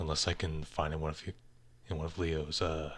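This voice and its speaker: Here a man speaks in a very deep, low voice. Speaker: animator livestreaming art work. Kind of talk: casual livestream chat while drawing. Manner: halting, many fillers.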